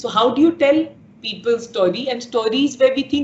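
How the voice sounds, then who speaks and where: Over noticeable background noise, the speaker talks at a moderate pace with ordinary variation in pitch. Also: woman. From India, Bihar. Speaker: media startup founder and CEO. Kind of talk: interview.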